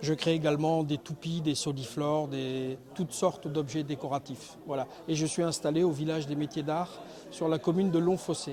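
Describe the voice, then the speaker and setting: Fairly even intonation at a moderate speed from a man pitched fairly high. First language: Spanish (speaking French). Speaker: wood turner, craftsman. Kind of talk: interview.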